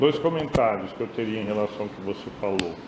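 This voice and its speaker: A man with a fairly low voice talks with ordinary pitch variation, with noticeable background noise and audible room echo in the recording. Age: 60s. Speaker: course lecturer. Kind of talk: lecture discussion.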